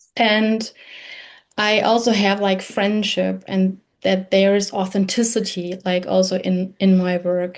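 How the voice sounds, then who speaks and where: In a German accent, the speaker talks in a flat monotone at very even loudness against a quiet background. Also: woman, medium pitch for a woman. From Germany. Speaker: podcast host. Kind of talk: interview. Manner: halting.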